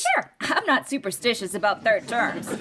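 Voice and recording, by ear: A woman puts on a character voice, fairly high in pitch with big pitch swings and a bright, sharp tone, at a moderate pace.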